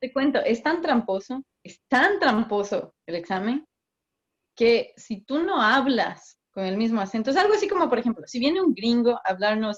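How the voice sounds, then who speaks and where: At a fairly slow pace, the speech comes out somewhat breathy. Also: woman. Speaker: migration consultant. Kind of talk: interview. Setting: video call.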